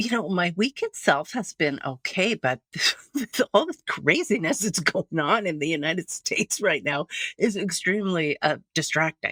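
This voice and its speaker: A woman with a Canadian accent at medium pitch and moderate pace, lively intonation, dry, close sound with no echo, and a very clean recording with a silent background. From Canada. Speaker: podcast co-host, religious trauma counselor. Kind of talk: casual chat. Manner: hesitant, many fillers.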